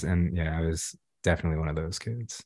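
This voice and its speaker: A man speaks with a Californian accent. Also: very clean recording, silent background. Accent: General American, Californian. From Los Angeles, South Central. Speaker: artist. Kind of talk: interview. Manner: halting, many fillers.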